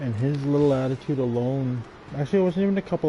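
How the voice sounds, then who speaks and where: Very fast pace with ordinary pitch variation over noticeable background noise. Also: man. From Canada, First Nations reserve. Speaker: gaming live streamer. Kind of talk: casual live-stream chat.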